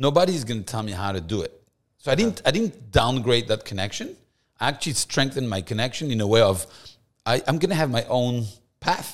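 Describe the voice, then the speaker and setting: A man with a French accent at a medium pitch, fairly quick and lively in intonation, on a very clean recording with a silent background. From France, Paris. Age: young. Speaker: rabbi. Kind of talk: casual chat.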